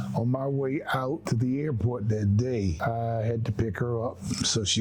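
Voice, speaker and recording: A voice with a North Carolina accent over music in the background. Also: man. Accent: Southern US (North Carolina). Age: 80s+. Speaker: war veteran. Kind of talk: testimony. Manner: halting.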